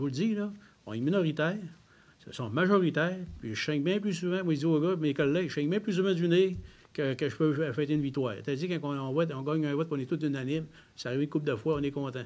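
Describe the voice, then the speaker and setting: The speaker talks at a very fast pace. Room echo is audible. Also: man, fairly high pitch for a man, ordinary pitch variation. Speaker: member of parliament. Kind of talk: press conference Q&A. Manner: direct, plain-spoken.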